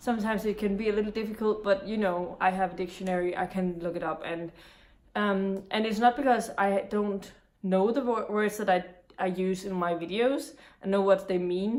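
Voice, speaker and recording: With a Danish accent, a woman talks at a moderate pace in a medium pitch, her intonation fairly even. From Denmark. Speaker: booktuber. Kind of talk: casual talk to camera.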